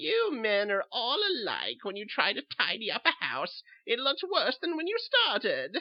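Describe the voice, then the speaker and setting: A man puts on a character voice pitched extremely high. He talks at a moderate pace with hardly any pauses. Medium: read story. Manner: sweet, knowing, quietly mocking.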